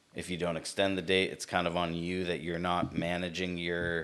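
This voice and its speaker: A man with an American accent talks at a very deep, low pitch, captured on a very clean recording against a silent background. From Southern California. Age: 30s. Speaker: entrepreneur. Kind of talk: interview.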